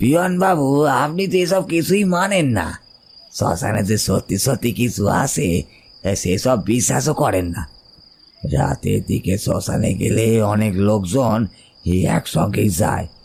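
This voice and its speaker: A man puts on a raspy character voice at a medium pitch, with very wide pitch swings. He speaks at a fairly slow pace. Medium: audio drama. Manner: earnest, confiding.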